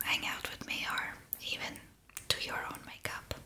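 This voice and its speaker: Amid noticeable background noise, a woman is whispering. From Estonia. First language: Estonian. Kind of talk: ASMR makeup ramble. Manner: whispered; soft-spoken, relaxed.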